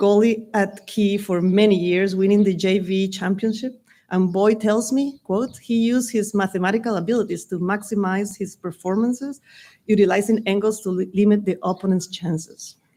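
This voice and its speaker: A woman at medium pitch with a Spanish accent, dark and mellow in tone, fairly even in intonation, at a moderate pace. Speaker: Spanish teacher. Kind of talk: commencement speech. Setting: graduation ceremony with audience.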